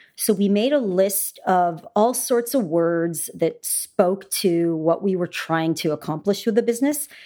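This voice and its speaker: This woman has a dark, mellow tone, a fairly low pitch and a Canadian accent. She talks at a moderate pace in a very clean recording with a silent background. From Canada. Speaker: food company founder. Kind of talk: interview.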